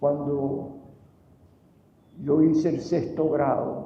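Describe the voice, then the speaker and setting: Against noticeable background noise, a man with a fairly high pitch speaks at a very slow pace. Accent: Venezuelan. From Venezuela, Caracas. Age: 80s+. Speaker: painter. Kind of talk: award acceptance speech.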